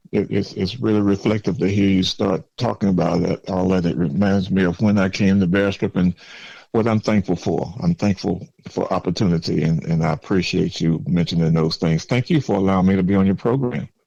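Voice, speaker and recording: Fairly quick speech in a Southern US accent, dark and mellow in tone, with ordinary pitch variation and very even loudness. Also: man, very deep, low pitch for a man. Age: 70s. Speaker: former mayor. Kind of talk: podcast interview. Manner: halting, repeats words.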